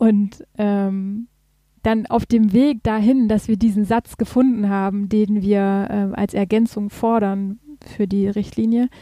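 In a very clean recording with a silent background and a dry, close sound with no echo, a woman speaks very slowly at medium pitch, her tone dark and mellow and her intonation monotone and flat. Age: 30s. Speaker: patient advocacy group founder. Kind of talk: casual interview.

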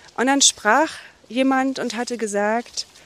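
Background noise is clearly audible. The woman talks very slowly. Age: 50s. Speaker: forest therapy guide. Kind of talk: walking interview. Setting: outdoors. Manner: halting.

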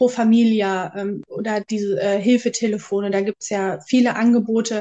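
A woman talks in a dark, mellow tone at a fairly high pitch. Her intonation stays fairly even. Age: 30s. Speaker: aspiring psychological counsellor. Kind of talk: interview. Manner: hesitant, many filler sounds.

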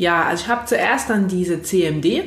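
Amid noticeable background noise and audible room echo, a woman speaks at a fairly low pitch with ordinary pitch variation. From Saxony, near Leipzig. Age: 30s. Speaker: physiotherapist. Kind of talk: podcast interview.

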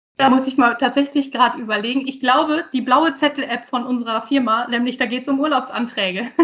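Against noticeable background noise, a woman with a high pitch talks very fast with hardly any pauses and fairly even intonation. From northern Germany, Osnabrück region. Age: 30s. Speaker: IT project manager. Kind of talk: interview. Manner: hesitant, many fillers.

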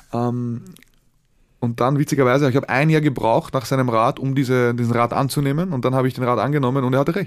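On a very clean recording over a silent background, a man speaks very fast at a medium pitch with very even loudness and fairly even intonation. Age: 20s. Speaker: entrepreneur. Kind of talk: interview.

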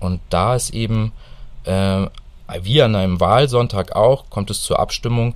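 The speaker is a man. He talks at a moderate pace. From northern Hesse, Germany. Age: 40s. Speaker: civic association board member. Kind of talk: radio interview.

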